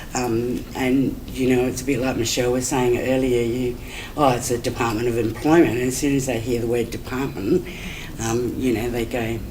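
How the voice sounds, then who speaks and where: A woman's very deep, low voice in an Australian accent, monotone and flat at a moderate pace, over noticeable background noise. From Adelaide, South Australia. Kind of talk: conference talk. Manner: hesitant, conversational.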